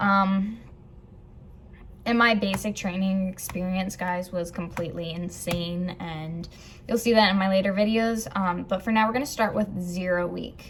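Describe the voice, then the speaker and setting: A woman with a somewhat breathy, medium-pitched voice talks at a moderate pace with fairly even intonation. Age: 20s. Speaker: vlogger and Air Force trainee. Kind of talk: casual vlog. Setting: filming at technical school. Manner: casual, hesitant with fillers.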